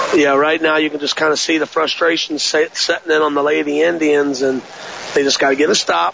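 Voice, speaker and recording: Fairly quick speech from a man at a fairly high pitch, fairly even in intonation, with noticeable background noise. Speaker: color commentator, coach. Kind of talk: live sports commentary, analysis. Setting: gym broadcast, courtside. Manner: conversational, analytical, measured.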